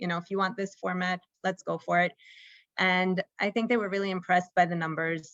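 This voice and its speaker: With an American accent, a woman uses a plain, everyday voice at medium pitch and fairly even intonation. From United States. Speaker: startup co-founder and executive. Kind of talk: interview at a conference fireside chat.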